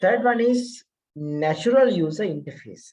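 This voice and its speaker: At a fairly slow pace, a man with an Indian accent and a dark, mellow tone speaks with very wide pitch swings. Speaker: lecturer. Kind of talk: lecture. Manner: hesitant with many fillers.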